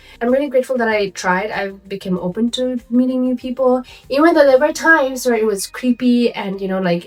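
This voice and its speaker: Against noticeable background noise, a woman speaks at a high pitch and a fairly quick pace. She hardly pauses, and her pitch varies in an ordinary way. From Nepal. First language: Nepali. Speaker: lifestyle vlogger. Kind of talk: casual vlog talk. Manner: conversational, many fillers.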